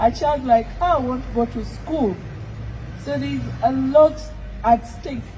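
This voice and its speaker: A woman's fairly high voice at a fairly slow pace, with noticeable background noise. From Uganda. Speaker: activist. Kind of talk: public speech.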